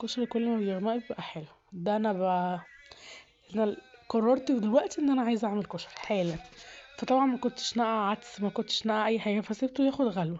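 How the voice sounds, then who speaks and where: A woman with an Egyptian accent and ordinary pitch variation. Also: fairly high pitch for a woman, fairly quick pace. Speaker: home cooking youtuber. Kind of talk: cooking tutorial. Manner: casual, conversational.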